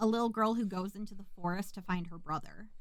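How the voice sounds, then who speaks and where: With an American accent, a woman talks fairly quickly at a medium pitch with ordinary pitch variation. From US Midwest, rural Minnesota. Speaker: podcast co-host. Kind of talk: casual chat. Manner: fast.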